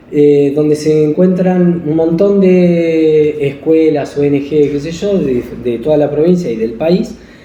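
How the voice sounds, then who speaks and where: The voice shows ordinary pitch variation. Audible room echo and noticeable background noise come through. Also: man, fairly high pitch for a man. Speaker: school program coordinator. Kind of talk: casual chat. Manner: fast.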